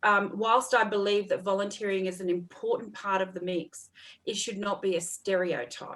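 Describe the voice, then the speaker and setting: This woman has a medium pitch and speaks with an Australian accent. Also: fairly even intonation, moderate pace. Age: 40s. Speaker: counsellor and mentor. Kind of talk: casual chat.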